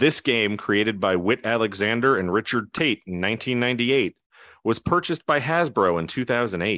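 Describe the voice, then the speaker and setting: Over a quiet background, a man with an American accent talks fairly slowly at medium pitch, his tone bright and sharp and his intonation lively. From New Jersey. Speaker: trivia quiz host. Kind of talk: quiz show hosting.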